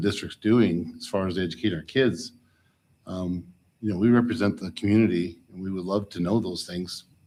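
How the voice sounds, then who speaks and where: A soft-spoken man talks at a fairly quick pace and a fairly low pitch with fairly even intonation. The recording is very clean, with a silent background. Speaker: school board member. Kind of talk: board meeting discussion. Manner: halting.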